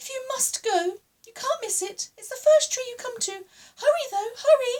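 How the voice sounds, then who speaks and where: A woman's put-on character voice, squeaky and extremely high, at a moderate pace. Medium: read story.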